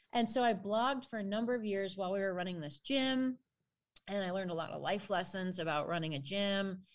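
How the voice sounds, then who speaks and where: A woman's ordinary speaking voice with an American accent, medium in pitch with ordinary pitch variation, at a fairly quick pace, on a very clean recording with a silent background. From US Midwest, Chicago northwestern suburbs. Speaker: exercise scientist and personal trainer. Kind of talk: casual chat.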